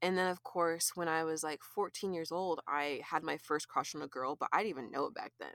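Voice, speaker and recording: A woman with an ordinary speaking voice talks at a fairly low pitch with ordinary pitch variation and hardly any pauses. The sound is dry and close, with no echo. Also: fairly quick pace. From California. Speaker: visual artist. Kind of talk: casual chat.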